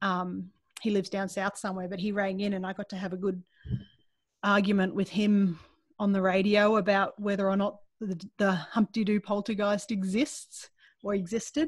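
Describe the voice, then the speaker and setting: At a moderate pace, a woman speaks with a medium pitch, fairly even intonation and a somewhat breathy voice. The sound is dry with no echo, and the background is quiet. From Australia. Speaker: skeptic group leader and podcast reporter. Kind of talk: interview answer. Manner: casual, conversational. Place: home room. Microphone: video call.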